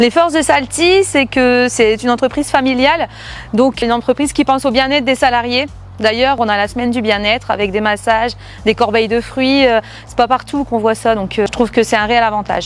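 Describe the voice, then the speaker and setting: At a fairly quick pace, a woman talks with a high pitch and ordinary pitch variation. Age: 30s. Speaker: sales manager. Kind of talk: corporate testimony. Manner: hesitant, frequent filler sounds.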